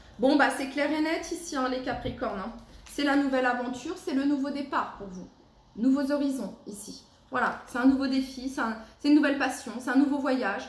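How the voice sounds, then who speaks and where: A woman with a high pitch and ordinary pitch variation talks at a fairly quick pace, with noticeable background noise and audible room echo. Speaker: tarot card reader. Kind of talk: tarot reading for a zodiac sign. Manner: halting, many fillers; loud.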